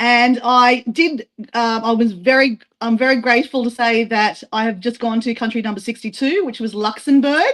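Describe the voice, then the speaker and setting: In an Australian accent, the speaker keeps a moderate pace and fairly even intonation against a quiet background. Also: woman, fairly high pitch for a woman. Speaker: travel vlogger. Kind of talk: casual self-introduction on a live stream. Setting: group live stream. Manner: casual, filler-heavy.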